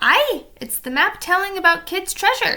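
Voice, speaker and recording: A woman uses a put-on character voice at an extremely high pitch. She raises and projects her voice. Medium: read story. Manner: gruff, growling, threatening.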